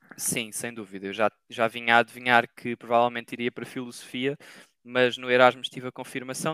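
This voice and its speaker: Dry and close with no echo, a man's bright, sharp voice stays monotone and flat. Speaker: master's student. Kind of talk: casual interview. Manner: hesitant, many fillers.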